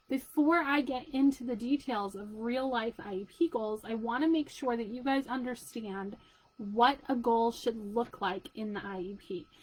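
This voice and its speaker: This woman's voice sits high in pitch. Her intonation is lively. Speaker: special education parent advocate. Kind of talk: live chat video for parents. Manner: fast; casual, conversational.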